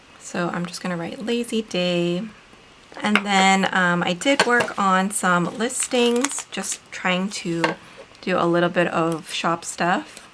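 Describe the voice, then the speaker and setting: A woman talks at a very slow pace and medium pitch with ordinary pitch variation, over noticeable background noise. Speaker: planner video creator and author. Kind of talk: casual craft tutorial narration.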